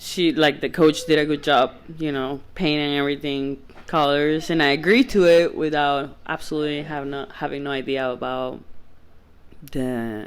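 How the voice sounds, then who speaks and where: A speaker with a Spanish accent, captured in a very clean recording against a silent background. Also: moderate pace. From Venezuela. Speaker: podcast guest, former soccer goalie. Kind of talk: casual chat. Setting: at home.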